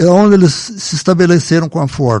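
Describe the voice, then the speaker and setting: Lively intonation marks this man's speech. His tone is dark and mellow, his pace moderate. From Brazil, São Paulo state (Salto, raised in Sorocaba). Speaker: local elder sharing memories. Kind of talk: casual reminiscing interview.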